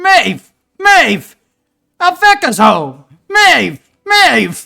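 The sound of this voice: A put-on character voice shouting at an extremely high pitch and a very slow pace.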